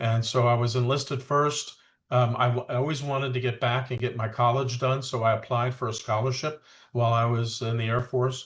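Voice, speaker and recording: Somewhat breathy, a man speaks at a medium pitch and a fairly quick pace. His intonation is monotone and flat, on a very clean recording with a silent background. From New York. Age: 70s. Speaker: retired fighter pilot. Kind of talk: interview. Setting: podcast interview. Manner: halting, many fillers.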